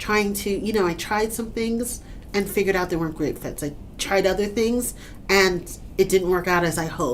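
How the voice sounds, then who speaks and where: A woman with a New York accent speaks at a medium pitch. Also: ordinary pitch variation, moderate pace. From Brooklyn, New York. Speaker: author and TV writer. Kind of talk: interview answer.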